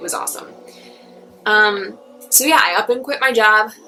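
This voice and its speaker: A woman at a moderate pace, music playing in the background. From Long Island, New York. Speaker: registered dietitian and personal trainer. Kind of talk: casual talk to camera.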